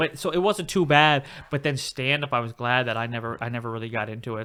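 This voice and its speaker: A man talks at a very fast pace at a medium pitch, with ordinary pitch variation. His tone is bright and sharp, on a very clean recording with a silent background. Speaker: podcast host, aspiring stand-up comedian. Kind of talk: casual chat. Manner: fast when excited; halting, many restarts.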